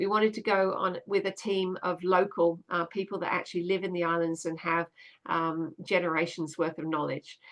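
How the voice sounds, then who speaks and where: This woman has an Australian accent and a fairly low pitch, speaking at a fairly quick pace. Her intonation is fairly even, and the background is quiet. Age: 60s. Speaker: children's author and science storyteller. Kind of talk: livestream talk. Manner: halting, frequent fillers and restarts.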